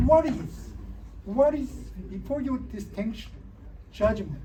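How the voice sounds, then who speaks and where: The speaker talks at a fairly slow pace with a non-native accent. Noticeable background noise runs under the voice. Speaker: Buddhist monk, disciple of a Zen master. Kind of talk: interfaith panel talk. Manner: halting.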